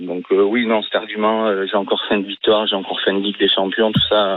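A man talks fairly fast as clear background noise continues behind him. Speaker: radio caller, football fan. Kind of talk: radio call-in. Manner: subdued, not upbeat.

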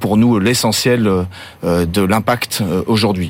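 A man with a fairly low pitch speaks in a normal speaking voice, keeping his intonation fairly even. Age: 50s. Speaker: spirits company CEO. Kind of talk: interview. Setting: studio.

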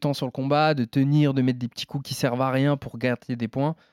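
A man's medium-pitched, moderately paced delivery with fairly even intonation, an ordinary speaking voice, on a very clean recording with a silent background. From France. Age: 20s. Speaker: MMA fighter. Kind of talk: casual interview.

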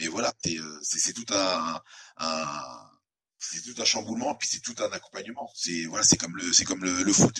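A man talks in a very deep, low pitch. His pace is fairly slow and his intonation lively. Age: 40s. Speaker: MMA fighter. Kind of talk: interview. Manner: halting.

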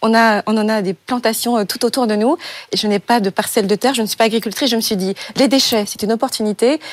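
A woman's fairly high voice at a very fast pace, with fairly even intonation. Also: dry, close sound with no echo. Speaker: startup founder. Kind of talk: pitch and Q&A.

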